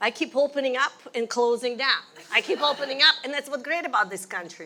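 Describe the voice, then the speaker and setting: A woman with a Russian accent speaks very fast in a raised, projected voice, her high pitch moving with lively intonation over noticeable background noise. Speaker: ballet teacher. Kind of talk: interview.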